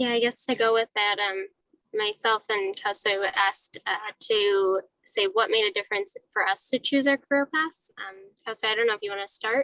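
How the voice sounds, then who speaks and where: A soft-spoken woman with a bright, sharp tone, fairly high pitch and ordinary pitch variation, at a moderate pace, in a dry, close sound with no echo. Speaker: civil engineer, panel moderator. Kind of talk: panel discussion.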